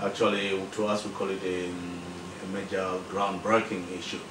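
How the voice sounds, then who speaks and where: Noticeable background noise can be heard while this man talks. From Malawi. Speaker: professional association president. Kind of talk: interview. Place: home room.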